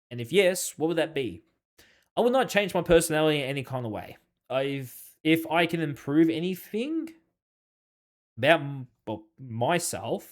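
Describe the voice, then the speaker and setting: A man with an Australian accent, fairly high in pitch with very wide pitch swings, on a very clean recording with a silent background. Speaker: gaming YouTuber. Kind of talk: casual Q&A monologue. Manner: fast, goes off track; halting, many fillers.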